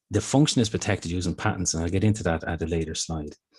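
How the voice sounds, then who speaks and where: Over a quiet background, a man with an Irish accent sounds somewhat breathy. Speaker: intellectual property office presenter. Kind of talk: business seminar presentation. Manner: fast.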